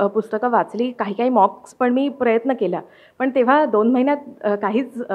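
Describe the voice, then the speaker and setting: A woman speaks high in pitch with lively intonation. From Mumbai, Maharashtra. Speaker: civil service exam topper; interviewee. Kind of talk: interview. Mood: calm, pleased. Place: home room. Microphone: handheld.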